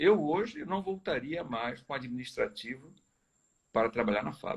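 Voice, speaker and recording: A man is speaking. His pace is fairly slow. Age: 60s. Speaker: chemical company executive. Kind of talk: live video interview. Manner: hesitant, frequent filler tá certo.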